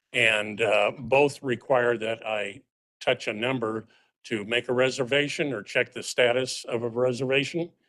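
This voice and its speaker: At a fairly slow pace, a man talks at a medium pitch with fairly even intonation and a bright, sharp tone. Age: 70s. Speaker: public commenter, blind transit rider. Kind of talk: public comment at board meeting. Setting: board meeting room at a podium microphone. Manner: halting, many fillers.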